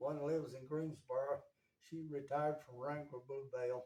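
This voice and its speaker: With an Appalachian accent, a man talks at a moderate pace in a dark, mellow tone and a fairly high pitch. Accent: Appalachian US Southern. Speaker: interviewee, family elder. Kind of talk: casual interview.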